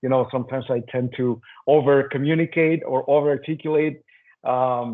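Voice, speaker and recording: A man with a non-native accent, medium pitch, fairly even intonation and a moderate pace. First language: not English. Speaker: lean leader, panelist. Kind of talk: roundtable discussion.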